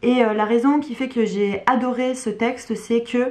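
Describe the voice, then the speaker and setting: Her pitch high and her intonation fairly even, a woman speaks at a moderate pace. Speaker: book YouTuber. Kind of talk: casual video monologue. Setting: at home. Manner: hesitant, many fillers.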